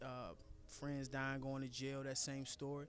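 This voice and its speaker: Music plays behind a man with an American accent. His pitch is fairly high and his pace fairly quick. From Washington, D.C. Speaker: community activist. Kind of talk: interview. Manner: hesitant, many fillers.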